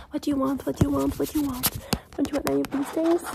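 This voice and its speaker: Noticeable noise runs in the background. A woman's speech goes very fast. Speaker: ASMR creator. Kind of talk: fast chaotic ASMR personal attention role-play. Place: home room. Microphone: phone near.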